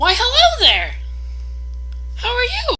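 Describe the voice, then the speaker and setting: A squeaky, put-on character voice at an extremely high pitch is raised and projected over clear background noise. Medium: actual play. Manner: cheery, upbeat.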